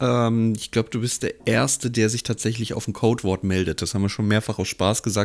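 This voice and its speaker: Captured in a very clean recording with a silent background, a man talks in a normal speaking voice, fairly low in pitch and fairly even in intonation. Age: 30s. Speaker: podcast co-host. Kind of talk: casual chat.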